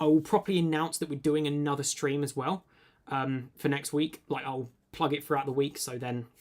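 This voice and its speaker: A man with a British accent. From UK. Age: 20s. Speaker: tech YouTuber. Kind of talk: live stream Q&A. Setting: live stream. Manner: casual, many filler words.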